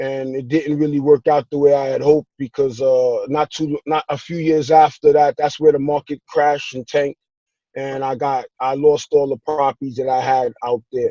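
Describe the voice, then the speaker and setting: In a New York accent, a man with a fairly high pitch and a dark, mellow tone speaks at a moderate pace in a monotone, flat way, the sound dry and close with no echo. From New York (Brooklyn and Queens). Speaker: real estate investor. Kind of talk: interview. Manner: halting.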